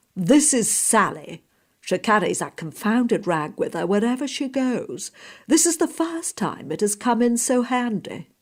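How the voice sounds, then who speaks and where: A woman puts on a gruff character voice at a fairly high pitch. Her pitch swings very widely at a moderate pace. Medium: read story. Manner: authoritative, gruff, perfect diction.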